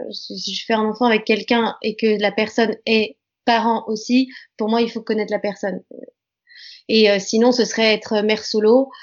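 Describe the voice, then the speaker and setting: A woman's fairly high, monotone, flat voice at a moderate pace, broken by long, frequent pauses. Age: 20s. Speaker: actress. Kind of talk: interview.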